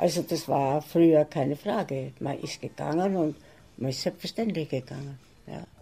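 This woman's voice is very deep and low, with a dark, mellow tone. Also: ordinary pitch variation, moderate pace. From Lockenhaus, Burgenland, Austria. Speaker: care home resident. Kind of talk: interview.

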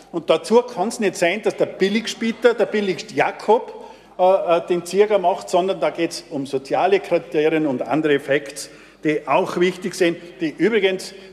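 A man's high voice, with ordinary pitch variation and a moderate pace, comes through noticeable background noise. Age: old. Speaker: city councillor, committee chair. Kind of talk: council debate speech.

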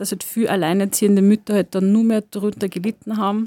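On a very clean recording with a silent background and a dry, close sound with no echo, a woman speaks at a fairly quick pace in a dark, mellow tone at medium pitch with monotone, flat intonation. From Lower Austria, farm. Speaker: sociologist and cultural worker. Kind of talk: radio interview. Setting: studio.

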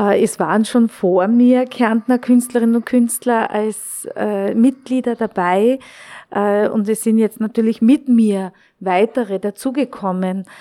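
Very slowly, a woman speaks at a fairly high pitch with a dark, mellow tone and fairly even intonation, in a dry, close sound with no echo. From Austria, Carinthia (Klagenfurt). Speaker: visual artist. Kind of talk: exhibition tour interview. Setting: exhibition space. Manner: halting, many fillers.

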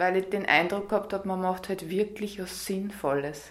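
A woman with a medium-pitched voice keeps a moderate pace and fairly even intonation. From Upper Austria. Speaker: yoga teacher. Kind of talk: radio interview. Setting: yoga studio.

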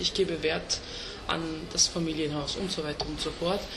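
Against noticeable background noise, a woman speaks at a moderate pace in a Turkish accent. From Vienna, Austria. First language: Turkish (speaking German). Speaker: rapper. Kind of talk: casual interview. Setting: restaurant. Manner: halting.

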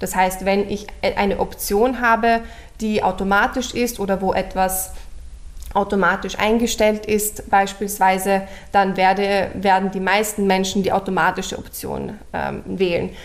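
Against noticeable background noise, a woman speaks in a medium pitch at a fairly slow pace with monotone, flat intonation. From Austria, Vienna. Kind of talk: radio interview.

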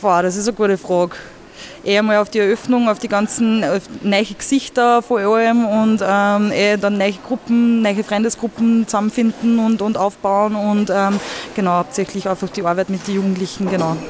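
A woman's voice at a very even loudness, with noticeable background noise. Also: medium pitch for a woman, fairly even intonation, moderate pace. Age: 20s. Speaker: youth centre manager. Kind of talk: interview. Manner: casual, hesitant with fillers.

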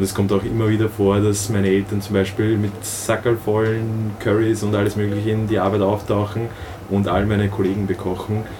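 A man talks at a fairly quick pace in a fairly low pitch, with monotone, flat intonation and very even loudness. Noticeable background noise can be heard. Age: 20s. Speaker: youth leader of a religious community. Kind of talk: interview.

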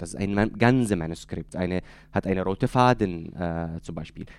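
Here a man talks with ordinary pitch variation. The recording is very clean and the background silent. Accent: Arabic. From Syria, Deir ez-Zor. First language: Arabic (speaking German). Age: 30s. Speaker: author. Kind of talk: interview. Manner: halting.

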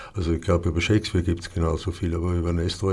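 A man speaks in a very deep, low pitch, somewhat breathy and with monotone, flat intonation. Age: old. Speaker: theatre director. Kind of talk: casual chat. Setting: studio.

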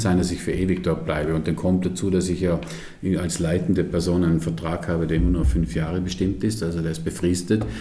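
A man's very deep, low voice with ordinary pitch variation, audible room echo and noticeable background noise. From Vorarlberg, Austria. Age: 50s. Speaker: museum director. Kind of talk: interview. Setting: his office.

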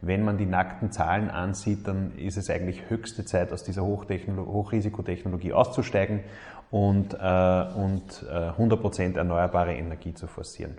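Speech moves at a moderate pace. The intonation holds fairly even. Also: man, very deep, low pitch for a man. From Upper Austria, Mühlviertel. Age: 30s. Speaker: politician, state minister. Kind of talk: recorded statement.

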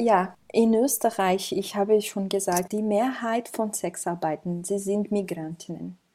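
With a Portuguese accent and a dark, mellow tone, a woman speaks at medium pitch and a very slow pace with ordinary pitch variation, in a very clean recording with a silent background. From Brazil. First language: Portuguese (speaking German). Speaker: migrant rights counselor. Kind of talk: interview.

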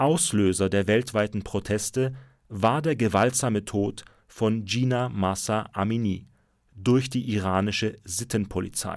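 A man's fairly low-pitched, unremarkable speaking voice at very even loudness, on a very clean recording with a silent background. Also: ordinary pitch variation, fairly slow pace. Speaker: radio news host. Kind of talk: news reading. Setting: studio.

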